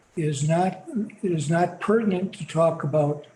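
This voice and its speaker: Noticeable background noise behind speech at a fairly slow pace. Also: man. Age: 70s. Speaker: book discussion participant. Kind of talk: group discussion. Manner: halting.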